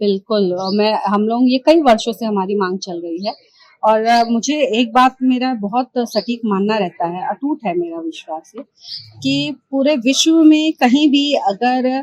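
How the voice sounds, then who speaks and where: Recorded with a dry, close sound and no echo, a woman speaks in an unremarkable speaking voice with a fairly high pitch. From eastern Uttar Pradesh (Ballia, Bhojpuri region). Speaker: politician. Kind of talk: interview.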